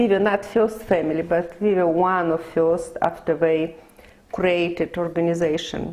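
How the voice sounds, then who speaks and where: A woman speaks with a Russian accent, her intonation fairly even and her loudness very even throughout. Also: fairly low pitch for a woman. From Lithuania. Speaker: immigrant interviewee. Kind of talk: oral history interview. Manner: halting.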